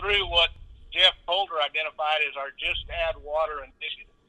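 A man speaks with a Texan accent. His pace is moderate. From South Texas (Edinburg). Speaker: agriculture company co-owner, former rodeo clown. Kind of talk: interview.

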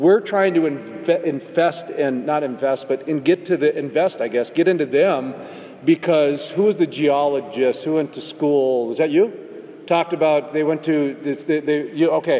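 A man speaks at a fairly high pitch with ordinary pitch variation. His pace is moderate, and background noise is noticeable. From North Dakota. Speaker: podcast host. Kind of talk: panel discussion.

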